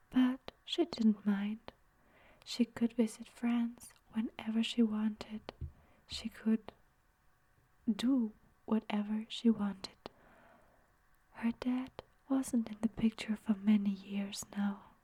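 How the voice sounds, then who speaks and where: Soft-spoken whispering at a very slow pace, broken by long, frequent pauses. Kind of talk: story narration.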